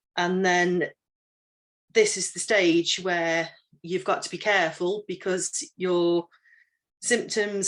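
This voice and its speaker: A woman speaks with an English accent at a fairly slow pace, her intonation flat and monotone. The background is quiet. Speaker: menopause trainer. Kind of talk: training talk. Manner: halting.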